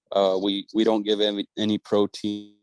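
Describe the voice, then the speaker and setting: A man with a fairly low pitch speaks at a fairly slow pace with monotone, flat intonation. The background is quiet, and the sound is dry and close with no echo. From northern Chihuahua, Mexico. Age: 20s. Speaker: cattle rancher. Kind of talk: interview. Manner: halting, many fillers and repeats.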